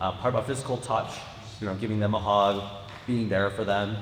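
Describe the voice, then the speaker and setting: A man is speaking with noticeable background noise. Audible room echo surrounds his voice. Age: 20s. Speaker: youth panelist. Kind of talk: panel discussion.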